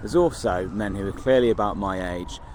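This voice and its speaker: Noticeable background noise sits behind a man with an English Midlands accent. His pitch is fairly low, with ordinary pitch variation. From English Midlands, Kenilworth. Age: 40s. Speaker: vlogger. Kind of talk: casual vlog monologue. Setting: outdoors. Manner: hesitant, many fillers.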